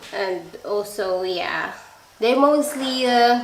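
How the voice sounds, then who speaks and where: A woman with a Filipino accent and fairly high pitch speaks at a very slow pace with ordinary pitch variation, amid noticeable background noise and audible room echo. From Philippines, Visayas. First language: Bisaya. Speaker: nursing student. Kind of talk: live stream chat. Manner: halting.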